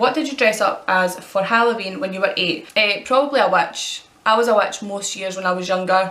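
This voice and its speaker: In a Scottish accent, a woman speaks at a fairly quick pace, with audible room echo and noticeable background noise. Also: medium pitch for a woman, ordinary pitch variation, hardly any pauses. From Scotland. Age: 20s. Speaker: vlogger. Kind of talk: casual Q&A tag video.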